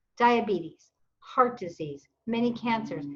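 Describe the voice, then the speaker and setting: An American accent with very wide swings in pitch. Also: woman. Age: 60s. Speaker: weight loss success story guest. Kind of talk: podcast interview.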